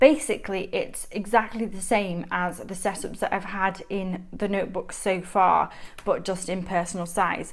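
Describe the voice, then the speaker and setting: Speaking fairly slowly in a Mancunian accent, a woman uses a medium pitch and ordinary pitch variation. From Manchester, northern England. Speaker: planner YouTuber. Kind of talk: show-and-tell vlog. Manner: chatty, enthusiastic.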